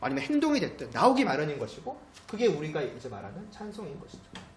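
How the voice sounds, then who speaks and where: A man talks at a very fast clip, his pitch swinging very widely. Room echo is audible, and there's noticeable background noise. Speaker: pastor. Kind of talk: sermon.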